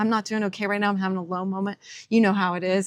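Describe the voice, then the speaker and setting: A woman's unremarkable speaking voice at medium pitch with fairly even intonation, in a dry, close sound with no echo on a very clean recording with a silent background. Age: 50s. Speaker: musician and radio veteran. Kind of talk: podcast interview.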